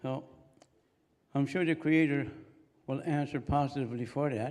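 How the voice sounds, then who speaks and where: With a Maritime Canadian accent, a man talks at a moderate pace in a fairly high pitch with fairly even intonation. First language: Mi'kmaq. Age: old. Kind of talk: ceremonial prayer and blessing. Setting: convocation ceremony with audience.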